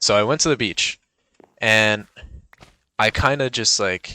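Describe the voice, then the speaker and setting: At a fairly slow pace, a man speaks with a fairly low pitch, a bright, sharp tone and ordinary pitch variation. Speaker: gaming youtuber. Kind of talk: casual vlog chat over gameplay. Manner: animated, excited; mumbling at times.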